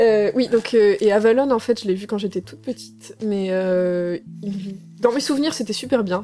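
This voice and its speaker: At a moderate pace, a woman talks in a plain, everyday voice with medium pitch, ordinary pitch variation and big swings in loudness. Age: 20s. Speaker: audio drama author, game design student. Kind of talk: interview.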